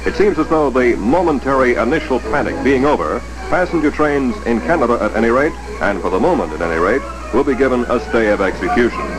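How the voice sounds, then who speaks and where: Very fast speech over music in the background. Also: man. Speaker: newsreel narrator. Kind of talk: newsreel narration.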